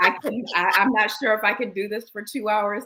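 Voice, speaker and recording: A woman with an American accent at a very fast pace. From New York. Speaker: personality speaker and minister. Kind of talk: interview conversation.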